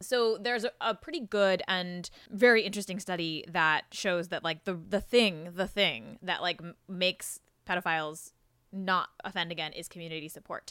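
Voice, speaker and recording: A woman with an American accent has an ordinary speaking voice, a medium pitch and ordinary pitch variation at a moderate pace. Her loudness swings widely on a very clean recording with a silent background. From US West Coast, San Diego. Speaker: podcast host and journalist. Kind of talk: casual interview conversation.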